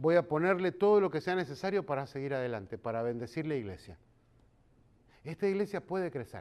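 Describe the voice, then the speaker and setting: Speaking at a fairly quick pace, a man sounds animated, his pitch swinging very widely. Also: fairly high pitch for a man. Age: 50s. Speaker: pastor. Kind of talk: sermon.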